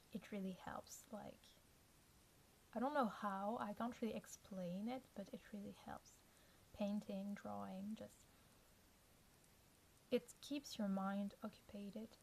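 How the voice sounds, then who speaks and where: A woman's somewhat breathy voice at medium pitch, very slow, with long, frequent pauses and fairly even intonation. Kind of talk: casual talk to camera.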